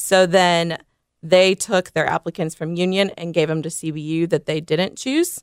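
A woman with an American accent speaks at a moderate pace in a fairly low voice with fairly even intonation. The recording is very clean and silent in the background, with a dry, close sound and no echo. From Indiana, South Bend. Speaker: athletic trainer for a soccer club. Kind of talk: podcast interview.

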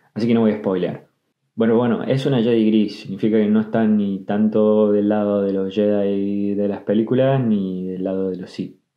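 Speaking at a moderate pace, a man uses a plain, everyday voice that sits fairly low in pitch, with fairly even intonation. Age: 20s. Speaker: podcaster. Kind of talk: personal storytelling. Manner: casual.

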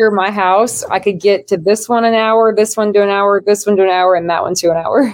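Using an unremarkable speaking voice, a woman with an American accent speaks at a medium pitch and a fairly quick pace, with fairly even intonation and hardly any pauses. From Nebraska. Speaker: professional kayak angler.

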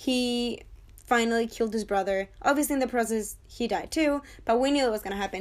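Against a silent background on a very clean recording, a woman speaks in a high pitch with an animated tone. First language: not English. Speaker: TV review podcaster. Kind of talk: casual monologue review.

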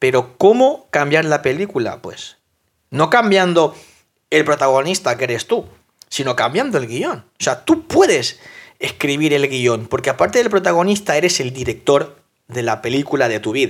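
The tone is animated and the intonation lively. Speech moves at a moderate pace. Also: man, fairly high pitch for a man. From South America. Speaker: fitness coach and podcast host. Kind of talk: motivational monologue.

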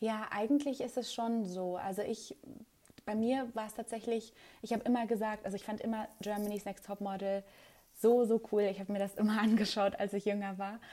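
Speaking fairly quickly, a woman has a fairly high voice with a dark, mellow tone and fairly even intonation. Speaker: TV reporter and presenter. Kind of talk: casual interview. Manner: hesitant with many fillers.

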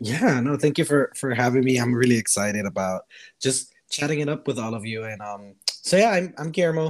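Speaking with an American accent, a man uses a medium pitch and lively intonation. His pace is fairly quick. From Miami, Florida (born Costa Rica). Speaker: podcast guest. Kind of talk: casual chat.

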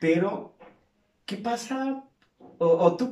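This man talks with lively intonation. His pace is very slow. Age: 50s. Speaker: podcast host, clinical psychologist and fitness instructor. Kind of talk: casual interview chat.

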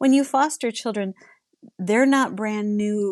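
A woman speaks at a moderate pace and a medium pitch, with ordinary pitch variation and a plain, everyday voice. The sound is dry and close with no echo, over a quiet background. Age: 60s. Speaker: licensed professional counselor. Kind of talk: interview.

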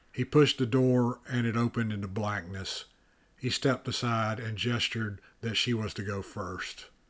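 Heard on a very clean recording with a silent background, a man with an unremarkable speaking voice keeps a medium pitch, a moderate pace and fairly even intonation. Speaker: audiobook narrator and author. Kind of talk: audiobook narration of a dark fantasy novel, read aloud.

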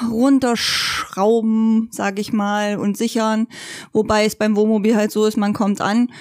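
Fairly high in pitch, a woman speaks at a very slow pace. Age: 30s. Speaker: motorhome traveller. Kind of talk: casual chat. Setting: living room, rain outside.

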